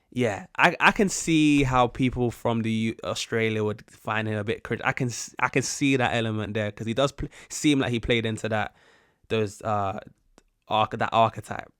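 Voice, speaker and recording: On a very clean recording with a silent background, a man speaks in a British accent. The sound is dry and close with no echo, and his intonation is fairly even. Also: medium pitch for a man, moderate pace. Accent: British, some viewers say posh-sounding. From UK. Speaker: YouTube reactor. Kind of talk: casual reaction commentary. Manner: halting, many false starts.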